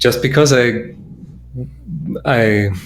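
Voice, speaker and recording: A man speaks with a German accent. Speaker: guitar maker. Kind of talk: casual chat. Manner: halting.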